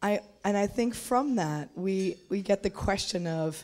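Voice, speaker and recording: Her pace very slow, a woman speaks. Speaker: audience member asking a question; audience member. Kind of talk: conference Q&A question. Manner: halting. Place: hall. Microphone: handheld.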